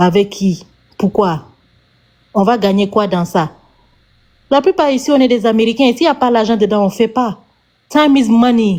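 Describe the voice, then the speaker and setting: In a Senegalese accent, a woman speaks at a fairly slow pace with a fairly high pitch, lively intonation and a dark, mellow tone. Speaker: TikTok live streamer. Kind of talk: heated rant on a live stream. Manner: animated.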